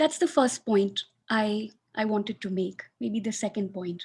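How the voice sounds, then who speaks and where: A woman's somewhat breathy, fairly high voice at a moderate pace, with ordinary pitch variation and a quiet background. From Pakistan (Sindh). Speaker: academic researcher. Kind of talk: webinar talk.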